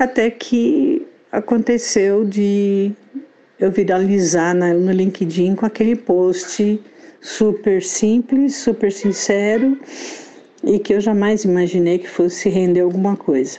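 Noticeable background noise sits under the recording. A woman speaks very slowly at medium pitch with ordinary pitch variation. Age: 60s. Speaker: copywriter and author. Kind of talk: interview.

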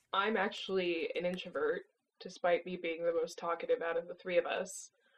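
A woman talks at a medium pitch in an unremarkable speaking voice. Her intonation stays fairly even. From US, born in Mexico. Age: 20s. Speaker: company CEO. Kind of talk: casual interview.

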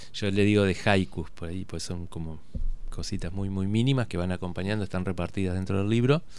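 Audible room echo carries a man's very deep, low voice as he speaks at a fairly quick pace with fairly even intonation. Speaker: photojournalist. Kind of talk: radio interview. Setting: radio studio.

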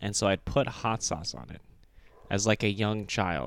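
This man has vocal fry and a fairly low pitch, with ordinary pitch variation and a moderate pace. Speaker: podcast co-host. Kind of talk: casual chat.

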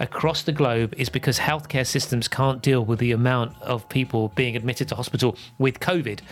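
Music plays in the background as a man speaks at a fairly quick pace. His pitch is medium. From Liverpool, England. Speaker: podcast co-host. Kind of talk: casual chat.

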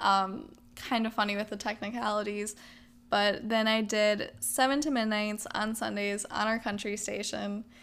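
A woman's fairly high voice at a moderate pace, on a very clean recording with a silent background. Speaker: podcast host and part-time radio DJ. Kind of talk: solo casual podcast talk. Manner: animated.

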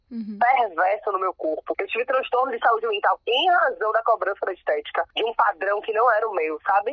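A woman's fairly high voice with lively intonation, at a fairly quick pace with hardly any pauses. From Salvador, Bahia, Brazil. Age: 30s. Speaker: lawyer and city councillor. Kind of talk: interview. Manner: casual, animated.

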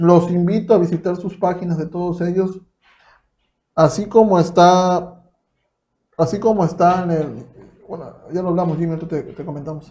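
This man speaks at a moderate pace in a high voice with a dark, mellow tone and a Mexican accent. His intonation stays fairly even while his loudness swings widely, broken by long, frequent pauses. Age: 20s. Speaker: podcast host. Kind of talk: casual chat.

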